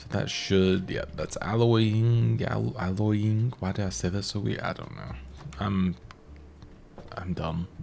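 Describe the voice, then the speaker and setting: A man's very deep, low voice at a very slow pace, with long, frequent pauses, big swings in loudness and noticeable background noise. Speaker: gaming YouTuber. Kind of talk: let's play commentary. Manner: filler words and hesitations.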